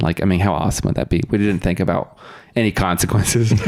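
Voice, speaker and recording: Someone with a Californian accent talks at a very fast pace, using ordinary pitch variation. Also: man. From US West, Sacramento area (Roseville, California). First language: Russian. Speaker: podcast guest. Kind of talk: casual chat.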